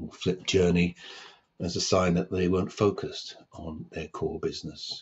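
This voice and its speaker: A somewhat breathy man's voice, very deep and low in pitch. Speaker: podcast host. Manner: pauses, long gaps between words.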